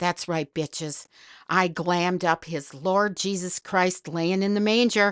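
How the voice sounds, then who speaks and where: A woman with an Upper Midwest accent speaks at a fairly slow pace against a quiet background, the sound dry and close with no echo. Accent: Upper Midwest American. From northern Wisconsin. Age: old. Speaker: podcast host. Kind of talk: comedic monologue.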